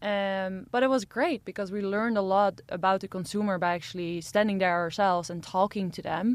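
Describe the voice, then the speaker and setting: A woman with a plain, everyday voice talks at medium pitch and a fairly quick pace, with hardly any pauses. Her intonation is fairly even, and the background is quiet. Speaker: entrepreneur. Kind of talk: interview. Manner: fast talker.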